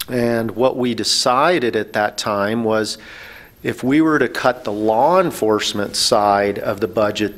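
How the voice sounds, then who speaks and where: The pace is fairly slow, and the pitch varies in an ordinary way. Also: man. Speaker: panelist. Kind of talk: public forum explanation. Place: meeting room. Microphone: podium.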